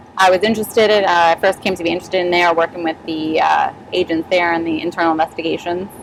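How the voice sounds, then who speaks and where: Noticeable background noise under a woman at a very fast pace, medium pitch, and fairly even intonation. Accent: American. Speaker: sheriff's deputy. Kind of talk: casual chat.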